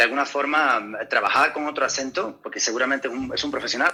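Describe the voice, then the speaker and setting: Music plays behind the speaker. He is a man talking at a fairly quick pace. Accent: slight Canarian. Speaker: actor. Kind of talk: interview. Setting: video call. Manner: halting, many repetitions.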